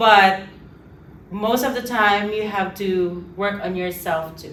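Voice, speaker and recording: A woman with an American accent speaks at a very slow pace and medium pitch, her intonation fairly even but her loudness swinging widely, with audible room echo and noticeable background noise. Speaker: international student. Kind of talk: casual interview.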